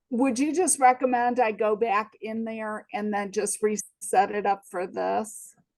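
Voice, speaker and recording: Her voice unremarkable and fairly high, a woman talks at a fairly slow pace with hardly any pauses and ordinary pitch variation. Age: 60s. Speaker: nurse, participant. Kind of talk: audience question.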